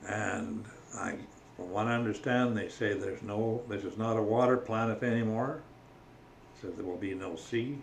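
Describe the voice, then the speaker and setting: Long, frequent pauses break up a man's speech, delivered with a Canadian accent and fairly even intonation, with audible room echo and noticeable background noise. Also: medium pitch for a man, moderate pace. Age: 80s+. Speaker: religious vlogger. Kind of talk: casual monologue on faith. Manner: halting.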